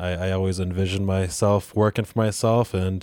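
A man with an American accent speaks at a fairly quick pace, his pitch very deep and low. The tone is dark and mellow, and the recording is very clean with a silent background. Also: dry, close sound with no echo. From Rochester, New York area. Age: 20s. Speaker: juice bar owner. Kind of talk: interview.

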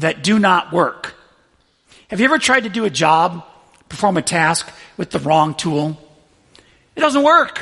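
A man with a high voice speaks raised and projected, his tone bright and sharp and his intonation lively. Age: 40s. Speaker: pastor. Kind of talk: sermon.

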